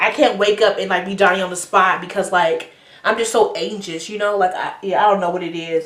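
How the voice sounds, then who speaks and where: A woman talks at a medium pitch and a fairly quick pace, with fairly even intonation. Noticeable background noise and audible room echo are present. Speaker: YouTuber. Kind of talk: casual vlog talk.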